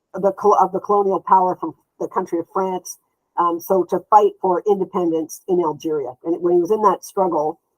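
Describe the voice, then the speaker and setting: With fairly even intonation at a medium pitch, a woman talks at a moderate pace in an ordinary speaking voice, the sound dry and close with no echo. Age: 60s. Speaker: therapist and social justice activist. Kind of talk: interview.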